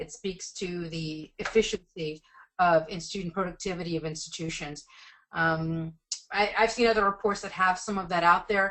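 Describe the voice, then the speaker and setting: Fairly even intonation from a woman at medium pitch. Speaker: education policy researcher presenting a report. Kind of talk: webinar presentation and Q&A. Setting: webinar call. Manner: fast.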